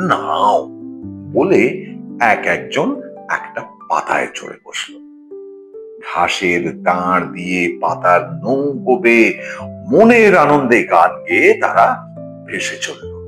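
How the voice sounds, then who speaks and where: A man's voice with big swings in loudness, music playing in the background. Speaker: storyteller. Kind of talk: children's story narration. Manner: soothing.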